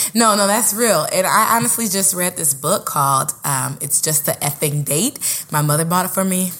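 A woman with an American accent, fairly low pitch, animated tone and lively intonation, with hardly any pauses and noticeable background noise. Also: moderate pace. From Oakland, California. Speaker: podcast co-host, actress and teaching artist. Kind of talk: casual chat.

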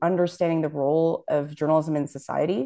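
Against a quiet background, a dark, mellow tone comes through at a fairly quick pace. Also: woman. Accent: Canadian. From Toronto, Canada (Scarborough). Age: young. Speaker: journalist and news publisher. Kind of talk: interview.

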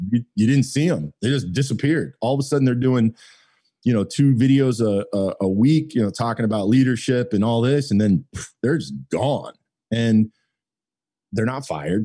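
In a normal speaking voice, a man talks at a moderate pace and medium pitch with lively intonation. The background is quiet. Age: 40s. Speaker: automotive marketing business owner. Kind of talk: casual interview chat.

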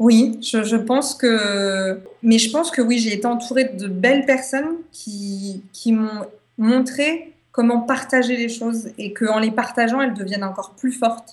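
An ordinary speaking voice from a woman, fairly high-pitched, with ordinary pitch variation and a fairly slow pace. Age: 20s. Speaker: association founder and traveller. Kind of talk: radio interview.

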